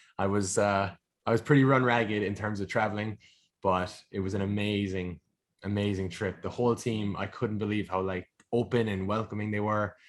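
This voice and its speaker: His speech moves at a fairly quick pace. The man's intonation stays monotone and flat. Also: fairly low pitch for a man. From Ireland. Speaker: sport and performance nutritionist. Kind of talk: podcast interview.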